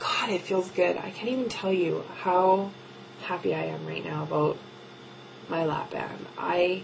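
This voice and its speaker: A soft-spoken woman at a fairly slow pace, with audible room echo and noticeable background noise. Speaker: video blogger documenting weight loss surgery. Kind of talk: casual video diary. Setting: home office at night. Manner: quiet, talking softly late at night; hesitant, many ums.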